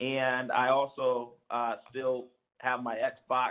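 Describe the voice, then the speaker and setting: Monotone, flat intonation from a man with an American accent at a medium pitch. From San Diego, California. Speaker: commission member, activist. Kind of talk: self-introduction at public meeting.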